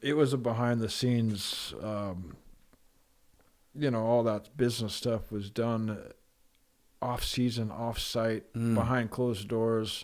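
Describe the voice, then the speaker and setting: Soft-spoken and fairly slow, a man with an American accent talks at a medium pitch with fairly even intonation and long, frequent pauses. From Pacific Northwest, USA. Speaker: professional snowboarder. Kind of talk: interview answer.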